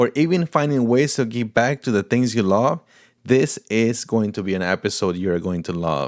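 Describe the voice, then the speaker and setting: In a very clean recording with a silent background and a dry, close sound with no echo, a man with a Portuguese accent speaks at a moderate pace with lively intonation. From Paraguay, Brazilian family. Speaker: podcast host. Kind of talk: casual interview; scripted podcast intro.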